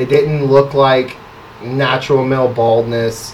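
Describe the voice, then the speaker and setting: Medium pitch from a man, with noticeable background noise behind him. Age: 30s. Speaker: barber. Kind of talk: casual chat.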